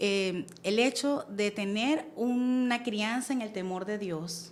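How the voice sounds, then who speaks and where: A woman with a Venezuelan accent and ordinary pitch variation. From Venezuela, Caracas. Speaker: church member, guest on women's faith show. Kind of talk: testimony.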